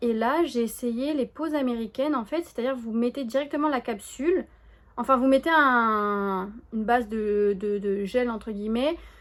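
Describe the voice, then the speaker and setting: A woman speaks at a fairly slow pace in a high voice with ordinary pitch variation, recorded very cleanly against a silent background. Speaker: knitting vlogger. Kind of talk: casual vlog chat to camera. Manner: hesitant, many fillers and restarts.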